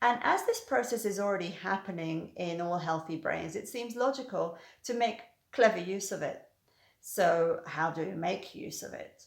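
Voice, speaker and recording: A woman with a British accent, medium pitch, ordinary pitch variation and a moderate pace. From Britain. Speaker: hypnotherapist. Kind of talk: educational talk to camera.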